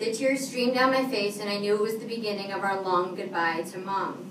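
Against noticeable background noise and audible room echo, a woman talks at a moderate pace with fairly even intonation. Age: 30s. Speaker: caregiver and advocate; panelist. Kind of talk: testimony. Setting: congressional briefing room. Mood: emotional, sombre. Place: hall.

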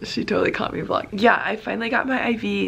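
Over light background noise, a woman speaks at a moderate pace with lively intonation. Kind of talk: casual vlog chat. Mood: relieved, a bit nervous. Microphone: phone near.

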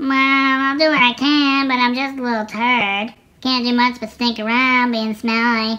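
At a moderate pace, a woman talks in a high voice. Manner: rambling, absent-minded.

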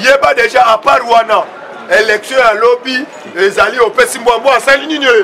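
A man with a Congolese accent projects a raised, extremely high voice at a fairly quick pace over light background noise. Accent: Congolese French and Lingala. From DR Congo. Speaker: political party activist. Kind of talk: street political speech. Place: street. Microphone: camera far.

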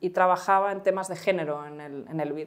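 A woman talks at a fairly quick pace with fairly even intonation. The background is quiet. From Spain. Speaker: startup co-founder; guest. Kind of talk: interview. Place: studio. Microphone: lapel.

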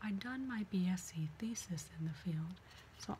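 With light background noise behind her, a soft-spoken woman talks with ordinary pitch variation. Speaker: reader of a medical memoir. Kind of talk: reading aloud from a book. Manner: soft, quiet ASMR reading voice. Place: home room. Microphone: webcam.

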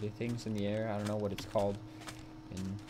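The delivery is fairly quick, with little pitch movement. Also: man, fairly low pitch for a man.

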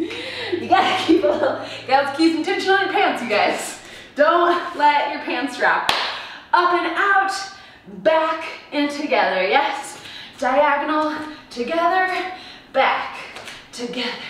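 A woman with a high pitch speaks very slowly, leaving long, frequent pauses, her tone upbeat and playful with lively intonation. There is audible room echo and light background noise. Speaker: fitness instructor. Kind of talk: live online workout class, cueing exercises. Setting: video workout, recorded at home. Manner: upbeat, encouraging, playful; rhythmic, punchy cues. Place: home room. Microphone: camera far.

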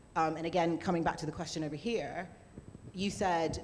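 A woman with a British accent at a very fast pace, over light background noise. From UK. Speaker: novelist; panel author. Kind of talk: panel discussion. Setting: stage with live audience. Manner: hesitant, many fillers and repeats. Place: stage. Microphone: handheld.

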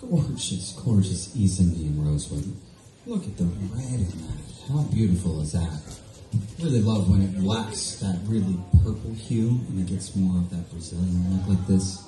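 With a very deep, low pitch and ordinary pitch variation, a man talks at a moderate pace amid audible room echo and light background noise. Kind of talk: demonstration commentary. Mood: enthusiastic. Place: stage.

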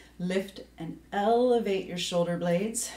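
A woman talks at a very slow pace in a fairly low pitch. Room echo is audible. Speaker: yoga instructor. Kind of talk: guided yoga class with step-by-step cues. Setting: home video workout. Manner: calm, instructive, steady pacing. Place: home room. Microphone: camera far.

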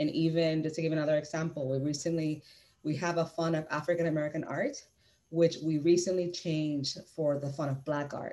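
A woman speaks in a Spanish accent at a fairly quick pace, her pitch very deep and low. Her tone is dark and mellow, and her intonation monotone and flat. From Puerto Rico. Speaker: museum curator. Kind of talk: panel discussion. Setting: video call. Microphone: earbuds.

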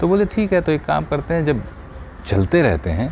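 A man talks at a moderate pace with very wide pitch swings, over light background noise. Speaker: voice artist. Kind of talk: motivational storytelling.

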